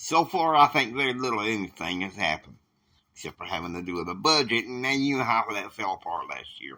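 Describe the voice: A man uses a put-on character voice with a fairly low pitch, big pitch swings, and a bright, sharp tone at a fairly quick pace.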